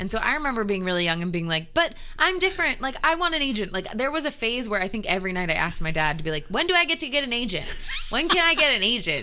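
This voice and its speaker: Against noticeable background noise, a woman with a fairly high pitch talks at a very fast pace, her pitch swinging very widely. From moved around the US, mostly California and northeast. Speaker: TV host. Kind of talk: casual chat.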